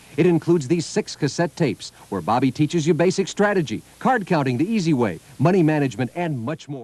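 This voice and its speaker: Upbeat man at a very fast pace with hardly any pauses, fairly high pitch and lively intonation. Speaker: infomercial announcer. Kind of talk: TV infomercial announcer read. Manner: upbeat, promotional.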